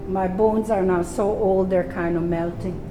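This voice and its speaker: At a moderate pace, a woman talks in a fairly low voice against noticeable background noise. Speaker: yoga teacher. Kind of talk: yoga class talk and interview. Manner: talkative, chatty.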